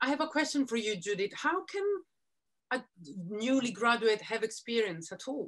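Against a quiet background, the speaker moves at a moderate pace with very wide pitch swings and long, frequent pauses. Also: woman, fairly high pitch for a woman. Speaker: editor and broadcaster interviewing a designer; interviewer or fashion consultant. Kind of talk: panel conversation. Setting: video call. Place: home room. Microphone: video call.

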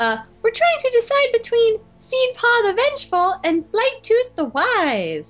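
Putting on a character voice, a woman speaks at a fairly slow pace and an extremely high pitch. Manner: earnest, political.

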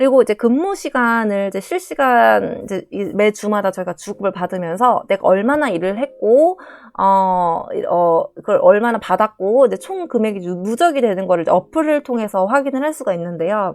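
On a very clean recording with a silent background, a woman with a fairly high pitch talks at a moderate pace with lively intonation. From South Korea. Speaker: nurse. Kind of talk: casual vlog talk.

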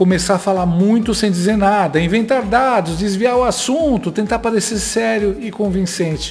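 A man's high-pitched voice with lively intonation at a moderate pace, faint music in the background. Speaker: political commentator. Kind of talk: political commentary narration. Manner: sarcastic, mocking. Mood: mocking, sarcastic. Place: home room. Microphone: studio mic.

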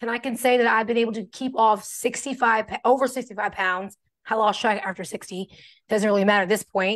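Over a quiet background, a woman with a fairly high pitch speaks in an animated tone at a moderate pace. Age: 40s. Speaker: fitness coach; weight loss coach. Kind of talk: casual livestream chat. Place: home room. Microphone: video call.

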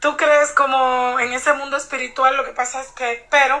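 A woman's high, raised and projected voice, fairly slow, monotone and flat, with a bright, sharp tone. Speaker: psychic channeler. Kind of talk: casual chat. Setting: phone call.

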